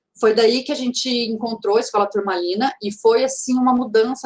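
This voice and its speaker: A woman with a fairly high voice talks at a moderate speed. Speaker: teacher and speaker. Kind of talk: lecture. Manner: halting, many fillers and restarts.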